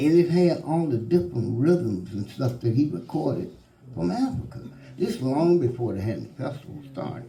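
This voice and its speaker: In an Alabama accent, a man with a dark, mellow tone and vocal fry speaks at a moderate pace and medium pitch with very wide pitch swings, with audible room echo around him. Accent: Alabama Southern. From US South, Florence, Alabama. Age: 70s. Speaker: musician. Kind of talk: panel storytelling. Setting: stage with audience.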